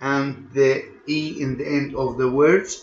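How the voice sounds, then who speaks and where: A man's fairly high voice at a very slow pace. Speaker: English language teacher. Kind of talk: lecture. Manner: halting, code-switching between English and Arabic.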